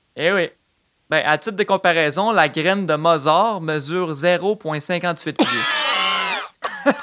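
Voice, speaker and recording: A high-pitched man's voice at a very slow pace, with lively intonation. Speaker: comedy podcast host. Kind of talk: comedic casual chat.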